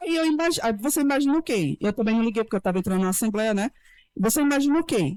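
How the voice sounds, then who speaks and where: A woman at a very fast pace with very wide pitch swings, in a very clean recording with a silent background and a dry, close sound with no echo. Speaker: lawyer. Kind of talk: panel talk. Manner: animated.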